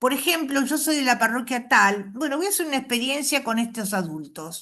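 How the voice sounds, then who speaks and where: A woman's high-pitched, bright, sharp voice with very wide pitch swings. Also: quiet background. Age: 70s. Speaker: catechist trainer. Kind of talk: workshop talk. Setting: video call.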